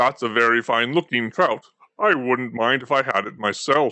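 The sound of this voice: A man puts on a rumbling character voice at a medium pitch.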